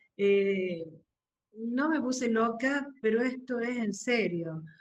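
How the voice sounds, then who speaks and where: A woman with a fairly high pitch and ordinary pitch variation talks in a room with audible echo. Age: 60s. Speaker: workshop participant. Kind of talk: casual group discussion. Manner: halting, many fillers.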